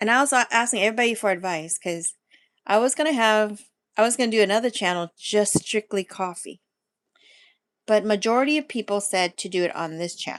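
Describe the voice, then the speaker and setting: A normal speaking voice: a woman with a fairly high pitch talks fairly quickly with ordinary pitch variation. The sound is dry and close with no echo against a quiet background. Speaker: food and lifestyle channel host. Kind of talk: casual livestream chat.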